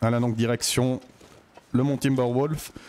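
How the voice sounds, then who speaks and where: With a Swiss accent, a man speaks at a moderate pace and a medium pitch. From Switzerland. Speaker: gaming YouTuber. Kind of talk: let's play commentary. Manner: casual, hesitant with fillers.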